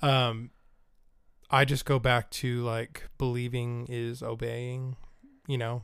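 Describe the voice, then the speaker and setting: Very slow speech with monotone, flat intonation and long, frequent pauses. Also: man, medium pitch for a man. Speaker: guest, host's husband. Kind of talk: casual interview chat.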